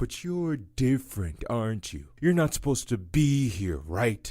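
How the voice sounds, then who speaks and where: A man puts on a character voice at a medium pitch, with very wide pitch swings. He keeps a moderate pace. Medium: audio drama. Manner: weary, bitter.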